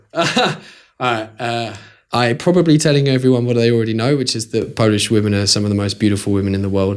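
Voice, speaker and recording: With a British accent, a man talks at a very fast pace in a medium-pitched voice with ordinary pitch variation. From UK. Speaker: blogger. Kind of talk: interview.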